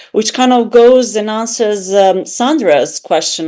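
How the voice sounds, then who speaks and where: A woman speaks in a Serbian accent. Her pace is moderate. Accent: foreign accent (Serbian). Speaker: academic author. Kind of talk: academic panel discussion. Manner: hesitant, with fillers.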